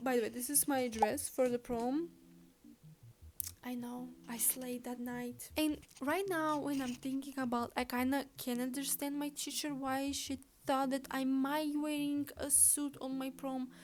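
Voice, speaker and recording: Speaking at a fairly slow pace with a non-native accent, a woman uses fairly even intonation and a high pitch. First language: not English. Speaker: vlogger. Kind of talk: casual storytelling vlog. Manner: chatty, halting at times.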